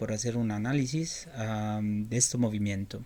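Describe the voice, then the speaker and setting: Speaking very slowly, a man with an Italian accent has a dark, mellow tone. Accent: Italian accent in Spanish, non-native. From Italy. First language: Italian (speaking Spanish). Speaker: journalist. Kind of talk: interview. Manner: halting, many fillers and repetitions.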